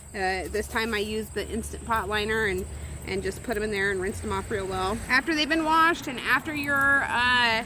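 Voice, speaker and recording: Noticeable background noise runs through the clip. The talking goes at a fairly quick pace. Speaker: homesteading vlogger. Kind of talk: tutorial. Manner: loud.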